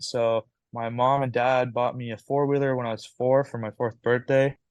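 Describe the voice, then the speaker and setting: A man with a slight Canadian accent speaks at medium pitch and a fairly quick pace in a monotone, flat intonation, the sound dry and close with no echo. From Canada. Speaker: amateur ATV motocross racer. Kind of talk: interview. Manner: halting, many fillers.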